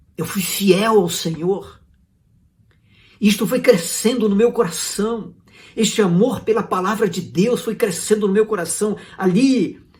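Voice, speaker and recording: Speaking at a fairly slow pace, a man uses a high voice with fairly even intonation. Audible room echo surrounds him. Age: 60s. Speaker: pastor. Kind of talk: sermon. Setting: online church service video.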